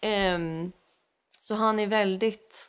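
Over a quiet background, a woman speaks with a bright, sharp tone and a fairly high pitch. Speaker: singer and voice teacher. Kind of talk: casual interview.

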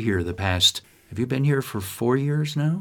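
With a plain, everyday voice and an American accent, a man speaks at a fairly quick pace. His pitch variation is ordinary. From upstate New York, US. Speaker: podcast host. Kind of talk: scripted intro; interview conversation.

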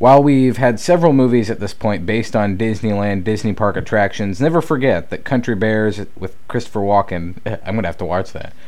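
The speaker has a normal speaking voice and ordinary pitch variation. The pace is fairly quick, with hardly any pauses. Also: man, fairly low pitch for a man. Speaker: podcast host. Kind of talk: casual banter podcast.

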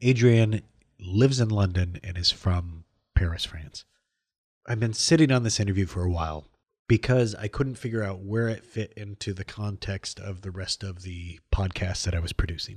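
A man speaks at a moderate pace against a quiet background. His voice is somewhat breathy and fairly low, with ordinary pitch variation. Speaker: podcast host. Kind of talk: casual interview. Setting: studio.

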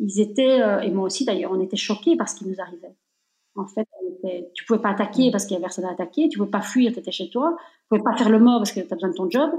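A woman with a medium pitch and a dark, mellow, somewhat breathy tone speaks at a very fast pace with ordinary pitch variation. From Belgium. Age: 50s. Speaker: entrepreneur. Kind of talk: interview. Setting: remote recording.

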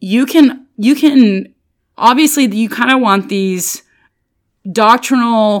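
In a very clean recording with a silent background, a woman speaks in an animated tone with lively intonation. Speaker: bible study podcast host. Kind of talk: devotional bible teaching. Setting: solo home recording. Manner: loud.

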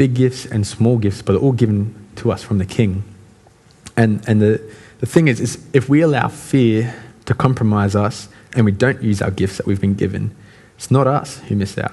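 A man's somewhat breathy voice at a medium pitch, with ordinary pitch variation and a moderate pace. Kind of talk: sermon. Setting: church. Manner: casual, conversational.

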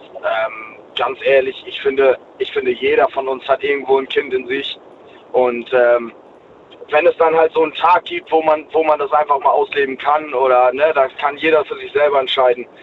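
Noticeable background noise sits under a man's voice. He speaks at a moderate pace with a fairly high pitch and fairly even intonation. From East Frisia, northern Germany. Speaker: caller. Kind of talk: casual chat. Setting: phone call. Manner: halting.

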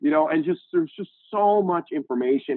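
Talking at a fairly quick pace, a man with an unremarkable speaking voice uses lively intonation. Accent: American. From Indiana, US Midwest. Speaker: tech company CEO. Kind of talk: interview.

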